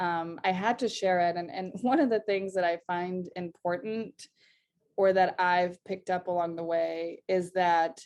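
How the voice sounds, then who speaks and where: Against a quiet background, a woman at medium pitch speaks at a fairly slow pace with fairly even intonation. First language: not English (English is third language). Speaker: singer-songwriter. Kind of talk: casual interview chat. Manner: halting, many fillers and repetitions.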